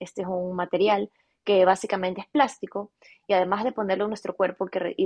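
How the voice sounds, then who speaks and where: The woman's intonation stays monotone and flat. Her pitch sits in the medium range. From Ecuador, Guayaquil. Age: 20s. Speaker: fashion business owner. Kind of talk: interview.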